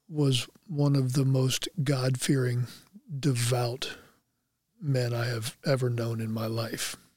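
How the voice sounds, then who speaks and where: Somewhat breathy, a man with an American accent and a medium pitch speaks very slowly with fairly even intonation. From Anderson, Indiana. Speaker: former NFL player. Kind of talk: casual chat. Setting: studio.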